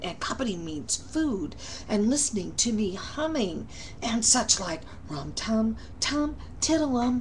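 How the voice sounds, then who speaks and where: A woman puts on a character voice with a fairly high pitch. She speaks at a fairly slow pace over clear background noise. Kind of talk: bedtime story. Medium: read story.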